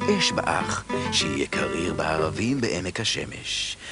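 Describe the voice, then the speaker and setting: A man speaks at a fairly slow pace. The sound is dry with no echo, and clear music plays in the background. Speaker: narrator. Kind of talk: cartoon narration. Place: studio. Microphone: studio mic.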